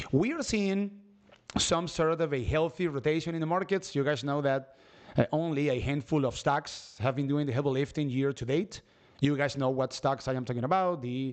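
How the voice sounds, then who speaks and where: Speaking at a fairly quick pace with a non-native accent, a man uses a fairly high pitch and ordinary pitch variation. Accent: noticeable non-native. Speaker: stock market streamer. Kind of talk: live stream market commentary. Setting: live stream.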